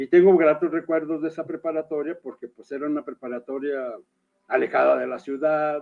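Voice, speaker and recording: At a fairly quick pace, a man talks with a fairly high pitch and fairly even intonation. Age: 60s. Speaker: writer and poet. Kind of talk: interview. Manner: halting.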